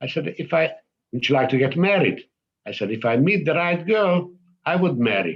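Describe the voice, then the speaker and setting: With a Hungarian accent, a man speaks in a fairly high voice with vocal fry and very even loudness. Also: moderate pace. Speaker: Holocaust survivor. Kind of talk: testimony. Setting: synagogue event. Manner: halting.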